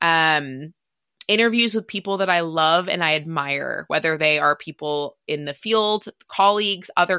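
Against a quiet background, a woman with a plain, everyday voice speaks at a moderate pace and a fairly low pitch, the sound dry and close with no echo. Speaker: podcast host. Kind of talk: solo podcast intro, casual monologue. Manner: excited, emotional, candid.

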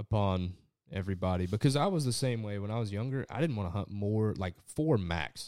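A man with an American accent, fairly low pitch and a dark, mellow tone, lively intonation and a fairly quick pace, in a very clean recording with a silent background. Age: 20s. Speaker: podcast host and duck hunter. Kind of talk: casual chat. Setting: home, over dinner and whiskey.

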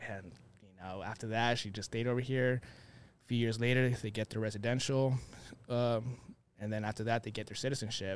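On a very clean recording with a silent background, a man with a medium pitch talks at a moderate pace in a monotone, flat intonation, his loudness swinging widely. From Phoenix, Arizona; Mexican family. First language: Spanish. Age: 30s. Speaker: sneaker content creator. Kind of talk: podcast interview. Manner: casual, uses 'dude' and 'bro'.

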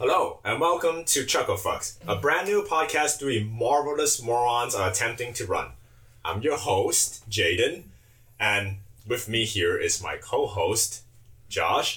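Someone speaks at a fairly slow pace with a Chinese accent. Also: man. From China. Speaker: podcast co-host. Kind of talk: casual chat. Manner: animated.

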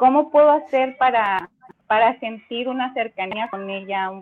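A woman speaks at a fairly slow pace. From Mexico. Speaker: caller. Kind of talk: testimony.

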